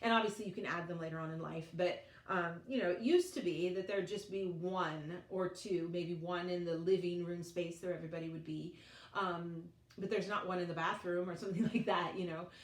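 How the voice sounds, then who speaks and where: Speaking at a fairly quick pace with a General American accent, a woman uses a normal speaking voice at fairly low pitch with fairly even intonation. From Colorado, United States. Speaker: vlogger, mother. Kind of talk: casual talk to camera.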